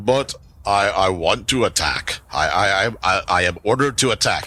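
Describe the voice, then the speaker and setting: A man puts on a booming character voice with a fairly low pitch. He speaks at a moderate pace. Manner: gruff, defiant.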